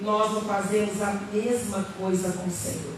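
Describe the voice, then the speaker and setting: A woman speaks at a very slow pace. Audible room echo and noticeable background noise surround her voice. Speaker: pastor. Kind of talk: sermon. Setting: church.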